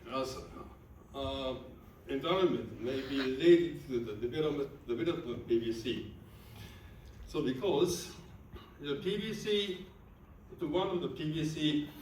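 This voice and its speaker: A man with a Japanese accent and a fairly high pitch, lively intonation, moderate pace, long and frequent pauses, noticeable background noise and audible room echo. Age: 60s. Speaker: medical researcher. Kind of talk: lecture. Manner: halting.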